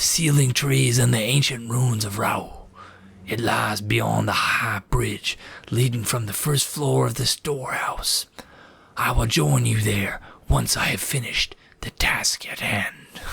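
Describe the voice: A man does a put-on character voice that is gravelly and fairly low in pitch. He speaks at a fairly slow pace.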